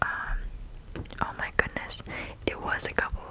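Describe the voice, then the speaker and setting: Noticeable background noise accompanies a woman who is whispering. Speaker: ASMR content creator. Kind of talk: ASMR whispered show and tell. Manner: whispered, soft-spoken, rambling.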